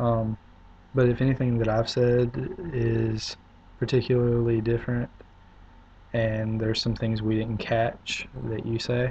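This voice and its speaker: With a South Carolina accent, a man speaks in a monotone, flat intonation at a fairly slow pace, leaving long, frequent pauses. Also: medium pitch for a man. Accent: Southern US (South Carolina). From US South, upstate South Carolina. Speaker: video blogger. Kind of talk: casual video response. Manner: hesitant, many fillers.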